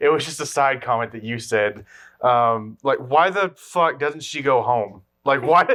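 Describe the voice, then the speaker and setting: A man's medium-pitched voice with a bright, sharp tone, a fairly slow pace, ordinary pitch variation and big swings in loudness, in a very clean recording against total silence. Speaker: movie review podcast co-host. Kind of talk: casual chat. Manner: halting.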